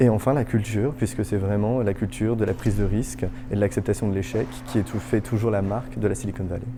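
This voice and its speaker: With music in the background, a man speaks very fast at a fairly low pitch with ordinary pitch variation. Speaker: startup hub director. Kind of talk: interview monologue.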